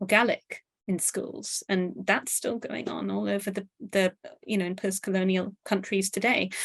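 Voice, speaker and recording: Recorded dry and close with no echo, a woman speaks in a strong British accent at a medium pitch. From Pakistan. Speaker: author and university lecturer. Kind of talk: interview. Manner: halting.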